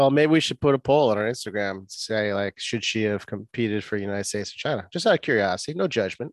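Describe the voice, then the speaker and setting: With an American accent, a man speaks at a very fast pace with hardly any pauses, his pitch fairly low with ordinary variation, the sound dry and close with no echo. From Boston. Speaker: physical therapist and podcast co-host. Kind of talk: casual chat.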